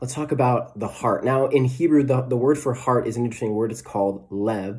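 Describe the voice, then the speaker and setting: A man's somewhat breathy voice at a fairly quick pace, with audible room echo. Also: medium pitch for a man. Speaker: preacher. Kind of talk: sermon. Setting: recorded without live audience. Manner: fast; animated.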